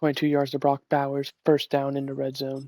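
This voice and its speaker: Soft-spoken man with a fairly high pitch, monotone and flat, moderate in pace, dry and close with no echo. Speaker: gaming streamer. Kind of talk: live game commentary. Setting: at home with guests over.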